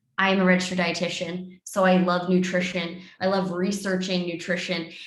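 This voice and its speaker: Audible room echo surrounds a woman's medium-pitched voice. She talks at a fairly quick pace with monotone, flat intonation. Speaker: clinical research scientist and dietitian. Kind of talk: webinar presentation. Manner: fast.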